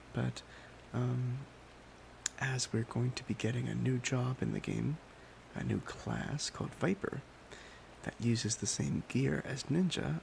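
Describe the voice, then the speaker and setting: A soft-spoken man talks at a fairly slow pace in a relaxed tone. His speech has long, frequent pauses. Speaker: ASMR YouTuber. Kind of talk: soft-spoken ASMR gaming chat. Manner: soft-spoken, relaxed.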